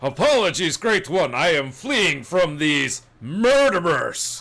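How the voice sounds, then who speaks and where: A man's put-on character voice, high-pitched, with very wide pitch swings. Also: fairly slow pace. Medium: actual play. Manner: self-justifying, blustering.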